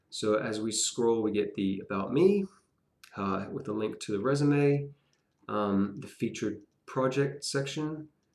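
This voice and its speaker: A man with a medium-pitched voice and ordinary pitch variation talks fairly slowly. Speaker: web development student. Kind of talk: tutorial. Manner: halting.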